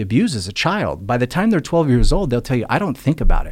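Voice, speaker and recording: Speaking at a very fast pace, a man uses a fairly high pitch with vocal fry. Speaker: motivational speaker and addiction recovery advocate. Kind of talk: casual interview conversation.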